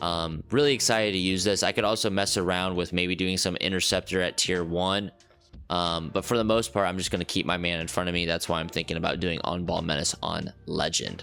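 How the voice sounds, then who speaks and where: A man speaks at a fairly quick pace with a very deep, low pitch. His intonation stays fairly even, and music plays in the background. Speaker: gaming YouTuber. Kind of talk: gameplay tutorial. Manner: fast, with fillers.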